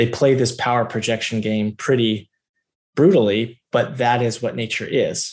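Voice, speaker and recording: A man with an American accent talks at a moderate pace in a medium pitch. His is an unremarkable speaking voice with fairly even intonation. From US South, Georgia. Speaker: military officer and researcher. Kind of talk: long-form interview.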